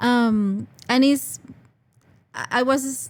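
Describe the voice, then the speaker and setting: Fairly even intonation in a Spanish accent. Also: woman. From Venezuela, Caracas. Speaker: international student services coordinator. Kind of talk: podcast interview.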